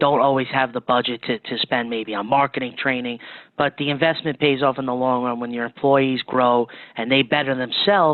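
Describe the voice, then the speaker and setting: Here a man with an unremarkable speaking voice talks at medium pitch and a fairly quick pace. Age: 20s. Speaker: plumbing company marketing manager. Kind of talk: interview.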